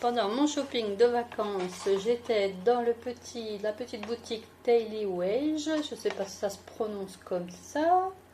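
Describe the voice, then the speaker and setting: A woman's fairly high voice in an Alsatian accent, fairly slow in pace, with lively intonation, big swings in loudness and noticeable background noise. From France, Alsace (Mulhouse). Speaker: beauty and fashion YouTuber. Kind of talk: fashion haul video. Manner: casual, chatty.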